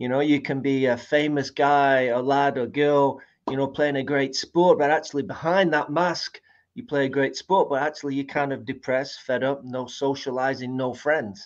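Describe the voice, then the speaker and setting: In a Manchester accent, a man with a fairly high pitch talks at a moderate pace with fairly even intonation against a quiet background. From Manchester, northern England. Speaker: guest speaker. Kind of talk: interview chat.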